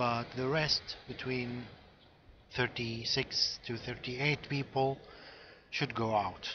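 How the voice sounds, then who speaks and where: Speaking at a very slow pace with long, frequent pauses, a man holds a monotone, flat intonation at a medium pitch. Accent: non-native. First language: not English. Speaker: game guide creator. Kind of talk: tutorial. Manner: halting, many fillers.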